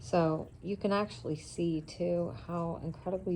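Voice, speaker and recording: Somewhat breathy, a woman with a fairly low pitch speaks at a very slow pace. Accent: American. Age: 40s. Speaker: vlogger. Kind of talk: casual vlog talk. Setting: indoors in son's apartment.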